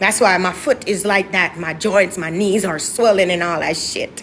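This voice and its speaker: Noticeable background noise surrounds a woman with an American accent. Her tone is animated. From Jamaica. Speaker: musical artist. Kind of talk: interview, telling her life story.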